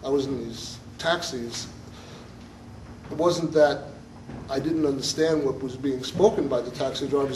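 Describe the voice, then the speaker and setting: Talking with a Brooklyn accent, a man has a fairly high pitch, ordinary pitch variation and a moderate pace. Long, frequent pauses break up his speech, and room echo is audible. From New York (Brooklyn). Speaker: musician. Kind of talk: audience Q&A. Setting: stage with audience. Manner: halting.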